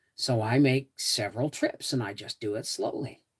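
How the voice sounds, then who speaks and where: With a Canadian accent, a woman speaks at a fairly slow pace in a bright, sharp tone. Her intonation is lively, and the sound is dry and close with no echo. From Toronto, Canada. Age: 60s. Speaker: homesteading livestreamer. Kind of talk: live stream chat with viewers. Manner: casual, repetitive.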